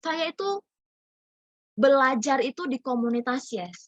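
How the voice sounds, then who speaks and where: The tone is animated as a woman talks. She uses lively intonation. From North Sumatra (Medan). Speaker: business community mentor. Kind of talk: online group presentation. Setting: video call.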